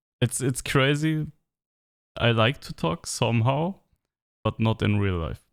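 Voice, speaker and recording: In a German accent, a man of medium pitch speaks at a fairly slow pace with lively intonation and long, frequent pauses. The sound is dry and close with no echo, on a very clean recording with a silent background. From Germany. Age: 30s. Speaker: vlogger. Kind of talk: personal monologue to camera. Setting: alone with camera. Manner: halting.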